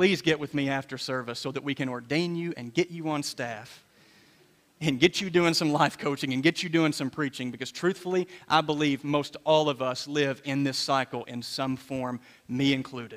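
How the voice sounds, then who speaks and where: A man talks at a fairly quick pace and fairly high pitch. It is an ordinary speaking voice. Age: 30s. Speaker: pastor. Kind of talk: sermon. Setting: church.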